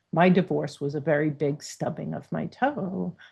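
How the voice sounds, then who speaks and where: In an American accent, a woman talks at a very slow pace, somewhat breathy, with lively intonation. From New York. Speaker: divorce coach. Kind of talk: casual chat.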